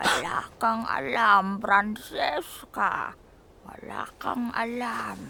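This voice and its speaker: Whispering in a put-on character voice, a woman speaks at a very slow pace. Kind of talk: audio drama.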